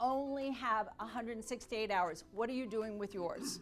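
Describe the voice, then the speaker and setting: A woman's fairly high, energetic, upbeat voice over music in the background. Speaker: sales speaker. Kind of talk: motivational speech / keynote to an audience. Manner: energetic, dynamic, upbeat.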